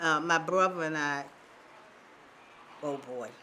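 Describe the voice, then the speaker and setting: With an American accent, a woman talks amid audible room echo. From Baltimore, Maryland. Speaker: oral history interviewee. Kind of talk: oral history interview. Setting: theater.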